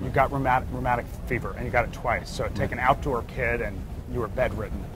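A dry sound with no echo, plus noticeable background noise. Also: man. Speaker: interviewer, leadership author. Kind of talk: interview questions on stage. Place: home room. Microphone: lapel.

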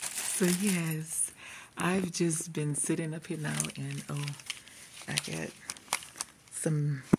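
A woman at a very slow pace against loud background noise. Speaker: vlogger. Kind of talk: casual video vlog. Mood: joyful, celebratory. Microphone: earbuds.

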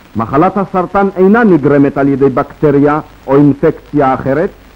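A man with a plain, everyday voice speaks at a fairly slow pace with lively intonation. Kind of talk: newsreel narration. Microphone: old recording.

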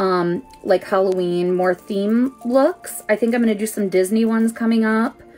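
Faint music plays in the background. A woman speaks with ordinary pitch variation. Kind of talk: casual livestream tutorial chat. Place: home room. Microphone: phone near.

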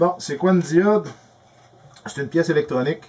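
With a Quebec accent, a man speaks at a moderate pace and with lively intonation. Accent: Québécois French. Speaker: electrical tutorial youtuber; presenter. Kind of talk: tutorial. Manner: casual, halting with repetitions. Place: workshop.

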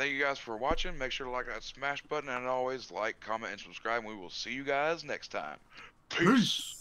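At a moderate pace, a man speaks at medium pitch in a bright, sharp tone with ordinary pitch variation. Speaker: gaming YouTuber. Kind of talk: casual gaming commentary. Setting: online voice call. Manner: usually hype.

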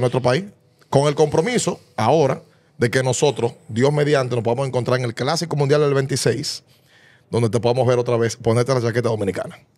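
Using a plain, everyday voice, a man talks at a fairly quick pace and medium pitch with fairly even intonation. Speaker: sports podcast host. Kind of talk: interview question. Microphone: studio mic.

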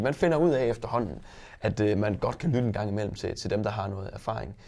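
With an ordinary speaking voice, a man talks at a medium pitch and a fairly quick pace. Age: 20s. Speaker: wine shop owner and entrepreneur. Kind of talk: interview.

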